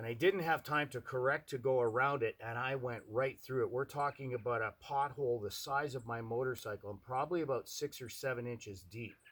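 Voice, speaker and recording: A man at a medium pitch and fairly quick pace with hardly any pauses and ordinary pitch variation, an unremarkable speaking voice. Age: 60s. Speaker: motorcycle appraiser. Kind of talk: casting self-introduction monologue. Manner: casual, conversational with fillers.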